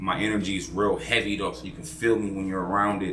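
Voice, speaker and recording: Audible room echo surrounds a man speaking at a moderate pace in a very deep, low pitch. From Oklahoma. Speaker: podcast guest, aspiring restaurant owner. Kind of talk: casual interview chat. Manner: loud; animated.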